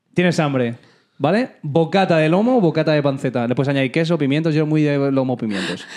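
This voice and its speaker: Over music in the background, a man speaks at a fairly quick pace and a fairly high pitch, with lively intonation and very even loudness. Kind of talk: casual chat. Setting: home studio.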